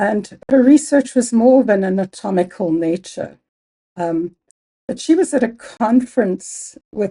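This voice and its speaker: A woman with a Zimbabwean accent speaks at a fairly slow pace with a fairly high pitch, a dark, mellow, somewhat breathy tone and lively intonation. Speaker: biology professor. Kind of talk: interview.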